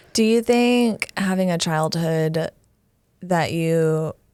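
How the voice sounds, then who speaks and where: A dark, mellow tone at a very slow pace, with ordinary pitch variation. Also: woman. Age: 20s. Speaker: podcast host. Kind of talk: interview.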